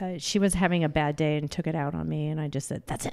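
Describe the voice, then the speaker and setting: A woman speaks at a fairly low pitch and a fairly quick pace in a dark, mellow tone. The recording is very clean, with a silent background. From Illinois, US Midwest. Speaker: wellness coach. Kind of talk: casual chat. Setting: studio. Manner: talkative.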